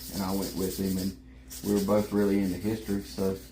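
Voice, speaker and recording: Audible room echo surrounds a man speaking with a Southern US accent at a very deep, low pitch. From US South, South Carolina. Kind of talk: casual chat. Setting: live stream.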